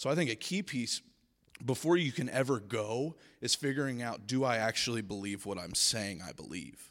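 Lively intonation marks this man's American accent at medium pitch, in a plain, everyday voice. The recording is very clean, with a silent background. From US South. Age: 20s. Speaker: speaker at a school spiritual week. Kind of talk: Q and A with students. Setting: stage with student audience.

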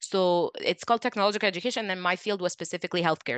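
A woman speaks at medium pitch with a bright, sharp tone and ordinary pitch variation. The sound is dry and close with no echo, over a quiet background. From Egypt. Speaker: neonatal nurse. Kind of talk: interview.

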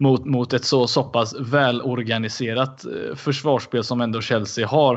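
The delivery is flat and monotone at a fairly slow pace. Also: man, medium pitch for a man. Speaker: football podcast co-host. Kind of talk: casual chat.

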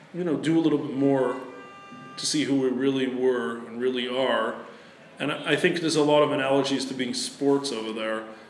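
Someone with an American accent is heard amid noticeable background noise and audible room echo. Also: man. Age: 40s. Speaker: sports writer and foundation head. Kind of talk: interview. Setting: in person, Tel Aviv.

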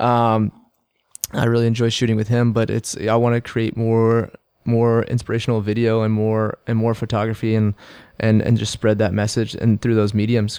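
The speaker uses a flat monotone with an American accent in a very clean recording with a silent background. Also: man. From Texas, Houston. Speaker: athlete and fitness coach. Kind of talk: casual interview. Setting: studio.

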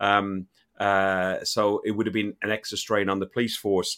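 In a very clean recording with a silent background, the voice carries an Irish accent and a monotone, flat intonation. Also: man. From Ireland. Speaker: football podcast host. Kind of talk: casual chat.

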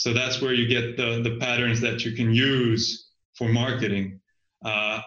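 A man with a Finnish accent talks with fairly even intonation. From Finland. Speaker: business consultant. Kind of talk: casual interview.

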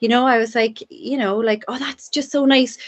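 The speaker has a Cork accent. The pace is fairly quick. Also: woman. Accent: Cork Irish. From Ireland, Cork (Douglas). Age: 50s. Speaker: addiction and youth worker. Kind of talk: casual chat. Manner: fast.

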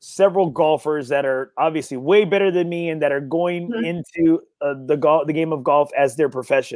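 A man with an American accent talks in a normal speaking voice, with ordinary pitch variation and hardly any pauses. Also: fairly high pitch for a man, fairly quick pace. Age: 40s. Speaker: golf podcast host. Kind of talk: casual interview chat. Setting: on a golf course.

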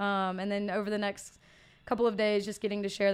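Speaking with monotone, flat intonation in a Southern US accent, a woman comes through on a very clean recording with a silent background. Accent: Southern American. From US South, Mississippi. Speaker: fitness coach. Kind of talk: casual interview. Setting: studio.

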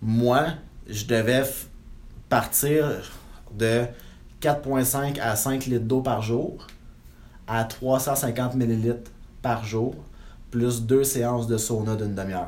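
With audible room echo, a man speaks at a very slow pace and a medium pitch, using fairly even intonation and long, frequent pauses. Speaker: real estate investor and broker. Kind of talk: interview.

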